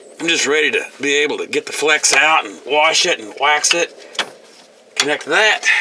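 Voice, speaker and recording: Through noticeable background noise, a man with a fairly high pitch speaks at a moderate pace with ordinary pitch variation. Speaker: DIY mechanic. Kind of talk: tutorial. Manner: halting.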